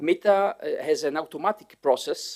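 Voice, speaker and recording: A man's voice moves at a moderate tempo, its pitch rising and falling in an ordinary way. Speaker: conference presenter. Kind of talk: conference presentation. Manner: halting.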